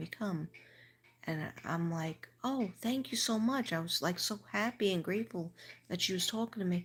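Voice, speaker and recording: A woman's somewhat breathy, fairly low-pitched voice with an American accent and ordinary pitch variation, in a very clean recording with a silent background. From New York. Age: 60s. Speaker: livestreamer, school teacher. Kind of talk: casual livestream monologue.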